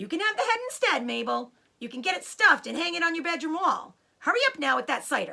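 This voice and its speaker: A female-sounding voice performs a put-on character voice at an extremely high pitch. The delivery comes at a very fast pace. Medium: read story. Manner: impatient, calling from upstairs.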